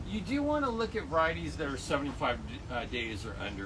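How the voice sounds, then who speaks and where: Loud speech comes at a fairly quick pace amid noticeable background noise and audible room echo. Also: man. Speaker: garden center expert. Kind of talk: tutorial. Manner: casual, hesitant with many fillers.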